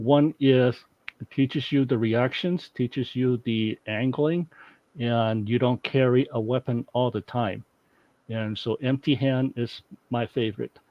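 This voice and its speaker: This man has a Chinese accent and a medium pitch. He speaks fairly slowly with fairly even intonation. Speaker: martial arts instructor. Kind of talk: interview.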